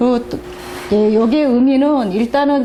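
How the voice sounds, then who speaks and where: Fairly slow speech amid noticeable background noise and audible room echo. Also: woman. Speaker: divination teacher. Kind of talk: lecture.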